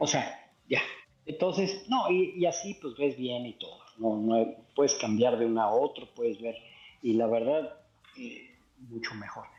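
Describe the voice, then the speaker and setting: A man talks at a fairly slow pace with long, frequent pauses and big swings in loudness. His pitch sits in the medium range, and his intonation is lively. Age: 60s. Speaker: mobile game player. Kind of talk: casual chat.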